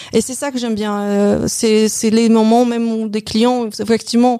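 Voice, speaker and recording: In a Polish accent, a woman speaks at a fairly slow pace. Her pitch is fairly high and her intonation monotone and flat. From Poland. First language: Polish (speaking French). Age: 50s. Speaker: bank advisor, former hairdresser and store manager. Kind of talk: interview about career change. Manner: hesitant, with repetitions.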